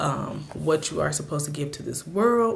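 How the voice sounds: A raspy, low-pitched woman's voice with vocal fry and lively intonation at a moderate pace, plus audible room echo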